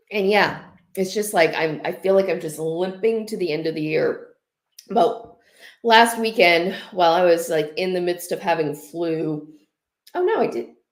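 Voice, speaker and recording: A woman at a medium pitch and moderate pace, with ordinary pitch variation and audible room echo. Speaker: knitting vlogger. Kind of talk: casual livestream chat. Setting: livestream. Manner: chatty, rambling with fillers.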